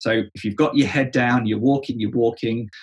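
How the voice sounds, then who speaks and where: Speaking at a fairly quick pace, a man with an English accent has a somewhat breathy, medium-pitched voice in a monotone, flat intonation. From England. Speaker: church leadership coach. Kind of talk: interview conversation. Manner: halting, with frequent word repetitions.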